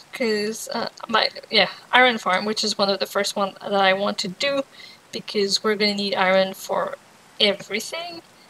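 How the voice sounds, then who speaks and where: Noticeable background noise runs throughout. The speech keeps a moderate pace and ordinary pitch variation. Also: woman, medium pitch for a woman. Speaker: gaming video creator. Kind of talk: casual gameplay commentary.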